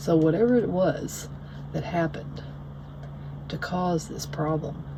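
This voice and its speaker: A woman with a Southern US accent at a fairly slow pace, with audible room echo and noticeable background noise. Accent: Southern US country. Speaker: tarot reader. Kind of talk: tarot reading monologue. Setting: at home. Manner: rambling, many fillers.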